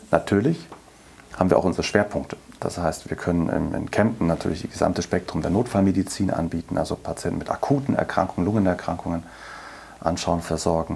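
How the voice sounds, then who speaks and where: A man's very deep, low voice at a very fast pace, with ordinary pitch variation and noticeable background noise. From Berlin. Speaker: chief physician, lung specialist. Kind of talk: interview.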